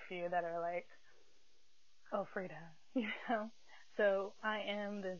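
A woman's medium-pitched voice with an American accent and fairly even intonation, in audible room echo. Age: 20s. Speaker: podcast host. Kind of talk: casual chat. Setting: in bed.

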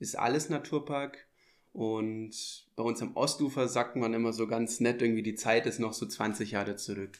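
A man's unremarkable speaking voice at medium pitch and a moderate pace, with fairly even intonation, on a very clean recording with a silent background. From Munich, Germany. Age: 20s. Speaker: dive instructor. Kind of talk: casual interview. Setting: on location by a lake.

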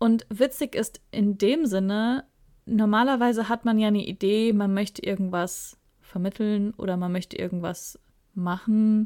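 The recording is very clean, with a silent background, and a woman talks in an ordinary speaking voice. Her pace is fairly slow and her intonation fairly even. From Ruhr area, Germany. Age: 30s. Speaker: podcast co-host, publishing PR worker. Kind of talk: casual chat.

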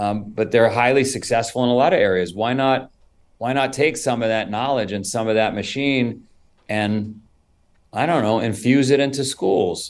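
With a plain, everyday voice and an American accent, a man talks at a moderate pace and medium pitch with ordinary pitch variation. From New York (Queens). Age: 50s. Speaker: founder and CEO of an endurance sports brand. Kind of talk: interview conversation.

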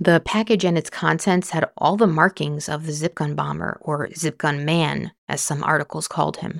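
A woman's very deep, low-pitched voice with vocal fry and a serious tone, fairly even intonation, a moderate pace and hardly any pauses, on a very clean recording with a silent background. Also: dry, close sound with no echo. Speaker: true crime podcast narrator. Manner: measured, serious, steady storytelling pace.

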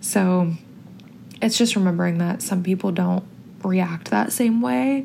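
A woman with an American accent, lively intonation, a somewhat breathy, medium-pitched voice, and long, frequent pauses. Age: 20s. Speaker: podcast host. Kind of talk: casual solo monologue. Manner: chatty, filler-heavy.

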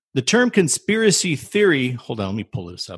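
Pitched fairly high, a man talks at a fairly quick pace with very wide pitch swings and vocal fry, the sound dry and close with no echo against a quiet background. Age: 40s. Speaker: podcast host. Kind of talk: casual chat.

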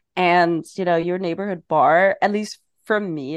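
The intonation stays fairly even. The sound is dry and close with no echo, over a quiet background. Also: woman. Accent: German. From Germany. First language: German. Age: 30s. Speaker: non-alcoholic bar owner. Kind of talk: casual interview.

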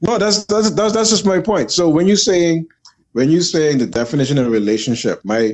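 A man's voice with very wide pitch swings. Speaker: gym owner and martial arts coach. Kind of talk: casual panel discussion.

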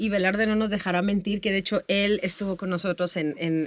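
A woman's medium-pitched voice comes through dry and close without echo, her intonation fairly even. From Tamaulipas, northern Mexico. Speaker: music industry manager and teacher. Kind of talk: interview.

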